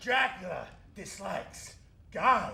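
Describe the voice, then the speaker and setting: In a put-on character voice with a pompous, theatrical tone, the speaker goes at a fairly slow pace with a slight echo. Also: man, extremely high pitch for a man. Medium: stage play.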